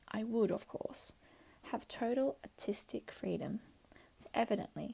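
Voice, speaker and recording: The speaker whispers at a fairly slow pace. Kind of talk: audiobook reading. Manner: whispered.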